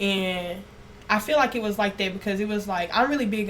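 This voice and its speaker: A woman talks at a fairly quick pace with medium pitch and ordinary pitch variation. Noticeable background noise sits behind her. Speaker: esthetician. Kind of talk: podcast interview. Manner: naturally loud.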